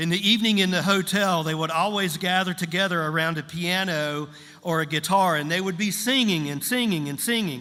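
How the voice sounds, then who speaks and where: Speaking at a moderate pace, a man has a high pitch and a bright, sharp tone. His pitch varies in an ordinary way, with audible room echo. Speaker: pastor. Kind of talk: sermon. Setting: church service with interpreter. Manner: short phrases paused for interpreter.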